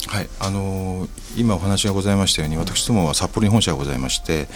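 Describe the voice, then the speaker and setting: Over music in the background, a man talks in a very deep, low voice. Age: 60s. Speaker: company president. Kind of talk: interview. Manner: formal.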